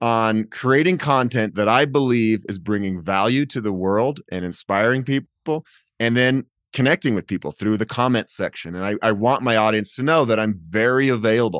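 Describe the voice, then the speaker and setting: In a dry, close sound with no echo and a quiet background, an energetic man with an American accent talks at a medium pitch and moderate pace with ordinary pitch variation. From Colorado, Boulder. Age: 40s. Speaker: bike adventurer and YouTuber. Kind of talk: casual interview chat.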